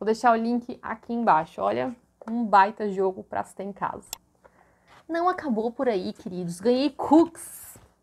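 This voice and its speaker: The delivery is animated, with lively intonation and big swings in loudness. The pace is fairly slow. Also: woman, fairly high pitch for a woman. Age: 20s. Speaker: YouTuber. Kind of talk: vlog haul presentation. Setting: bedroom at home. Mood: cheerful, enthusiastic. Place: home room. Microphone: lapel.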